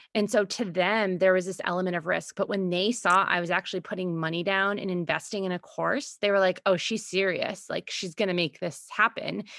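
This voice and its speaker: An unremarkable speaking voice at a fairly quick pace, with fairly even intonation and a dry, close sound with no echo. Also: woman, medium pitch for a woman. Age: 30s. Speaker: podcast host, business consultant and mother. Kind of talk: casual chat.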